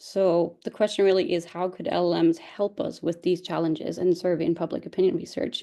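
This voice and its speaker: Hardly pausing, a woman talks at a fairly quick pace in a dark, mellow tone, her fairly low pitch following fairly even intonation. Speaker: PhD researcher presenting. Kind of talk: webinar lecture. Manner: fast.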